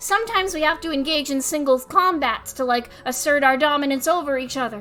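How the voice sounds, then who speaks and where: Over music in the background, a woman with a high pitch projects her raised voice at a moderate pace with lively intonation. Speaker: vtuber streamer. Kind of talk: live stream chat. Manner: animated.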